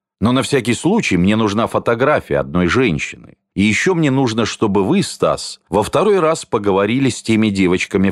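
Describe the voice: A quiet background behind plain reading aloud with lively intonation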